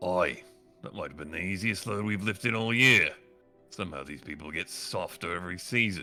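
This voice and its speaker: Putting on a gruff character voice, a man speaks at a fairly quick pace with a fairly low pitch and ordinary pitch variation, faint music playing in the background. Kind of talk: rough, casual, Cockney-style slang.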